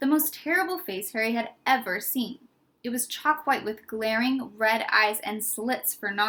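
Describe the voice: Plain reading aloud fills the recording.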